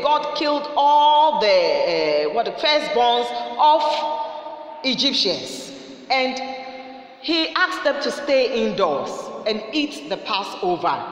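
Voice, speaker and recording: A woman speaks at a very slow pace. Audible room echo surrounds her voice. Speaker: preacher. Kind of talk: sermon. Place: studio.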